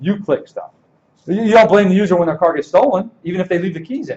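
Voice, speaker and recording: Talking at a very fast pace, a man uses a high pitch. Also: big swings in loudness. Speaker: conference speaker, security professional. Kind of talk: conference talk Q&A.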